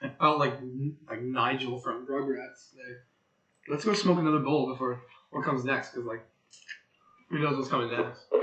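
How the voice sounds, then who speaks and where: Audible room echo surrounds a man talking at a moderate pace with long, frequent pauses. His medium pitch shows ordinary variation. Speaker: tarot reader livestreamer. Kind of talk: casual live tarot reading. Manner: casual, slangy.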